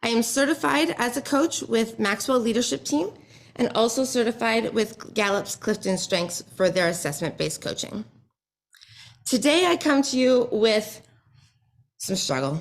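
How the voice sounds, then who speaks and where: In a very clean recording with a silent background, a woman with a fairly high pitch and vocal fry speaks with very wide pitch swings. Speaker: business and leadership coach. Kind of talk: pitch presentation to audience. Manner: fast.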